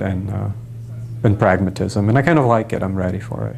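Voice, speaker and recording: Speaking at a very fast pace, a man with a fairly low pitch shows ordinary pitch variation over noticeable background noise. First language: not English. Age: young. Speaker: stage director. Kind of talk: interview.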